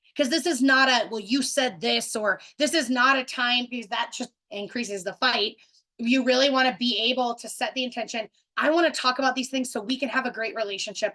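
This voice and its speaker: At a fairly quick pace, a woman speaks with a high pitch, a bright, sharp tone and ordinary pitch variation. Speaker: relationship coach. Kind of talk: webinar presentation. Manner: fast.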